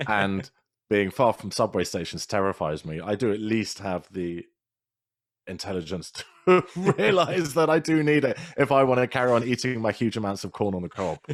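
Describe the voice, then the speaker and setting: A British accent with very wide pitch swings at a moderate pace, in a very clean recording with a silent background. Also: man, fairly low pitch for a man. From Britain. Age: 40s. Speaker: podcast guest, podcaster. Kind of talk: casual interview chat.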